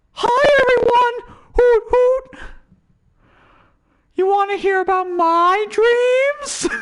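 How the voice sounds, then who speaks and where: A put-on character voice in an extremely high pitch talks at a very slow pace. Long, frequent pauses break up the speech. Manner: cheerful, excited.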